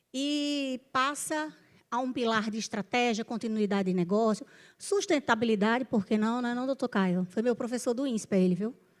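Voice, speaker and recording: In a very clean recording with a silent background, a woman with a northeastern Brazilian accent and a fairly high pitch speaks at a moderate pace with ordinary pitch variation. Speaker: panel moderator, business executive. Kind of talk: panel discussion moderation. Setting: stage with audience.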